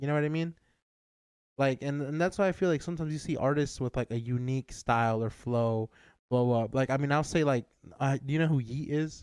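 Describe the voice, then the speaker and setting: A man talks at a fairly quick pace with a fairly high pitch and ordinary pitch variation. It is an ordinary speaking voice, with a dry, close sound and no echo. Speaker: podcast host. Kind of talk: casual chat.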